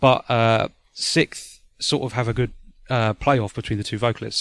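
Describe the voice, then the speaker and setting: A man talks at a fairly slow pace and medium pitch. The recording is very clean, with a silent background. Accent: British. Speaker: podcast host. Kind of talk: casual chat. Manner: hesitant, many fillers.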